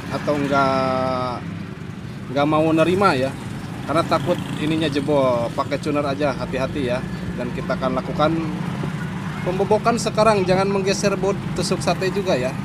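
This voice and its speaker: There is loud background noise, but the sound is dry with no echo. A man talks at a moderate pace with ordinary pitch variation and long, frequent pauses. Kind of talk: tutorial. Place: workshop. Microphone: phone near.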